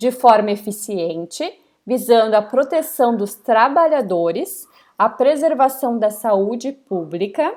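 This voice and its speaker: An ordinary speaking voice with lively intonation moves at a fairly slow pace on a very clean recording with a silent background. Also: woman. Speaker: university lecturer. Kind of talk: lecture.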